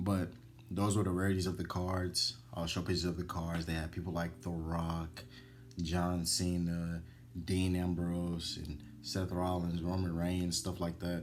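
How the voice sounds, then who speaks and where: This man's pitch is very deep and low, and his intonation stays fairly even. He speaks at a fairly slow pace, with audible room echo. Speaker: gaming YouTuber. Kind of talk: casual nostalgic commentary. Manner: unscripted, stumbling.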